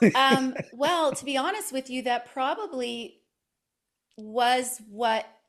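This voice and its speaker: With a Canadian accent, a woman with a high pitch speaks very slowly with lively intonation. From Canada. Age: 50s. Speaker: podcaster and personal growth guest. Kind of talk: interview conversation.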